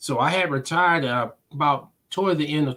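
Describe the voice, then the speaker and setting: With ordinary pitch variation and a fairly quick pace, a man talks in an ordinary speaking voice. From US Midwest, Omaha, Nebraska. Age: 60s. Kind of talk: interview.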